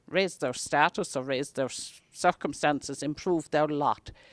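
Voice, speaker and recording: An Irish accent with ordinary pitch variation, in a dry, close sound with no echo, on a very clean recording with a silent background. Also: woman. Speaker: talk presenter on Irish history. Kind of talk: public talk. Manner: soft-spoken; halting.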